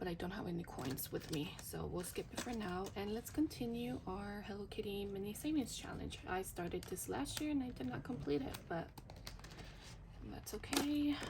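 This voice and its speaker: A woman at medium pitch and moderate pace with very wide pitch swings, against audible room echo and noticeable background noise. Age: 30s. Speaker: budgeting vlogger. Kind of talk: casual vlog. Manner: whispering but trying to speak loudly; hesitant, many fillers.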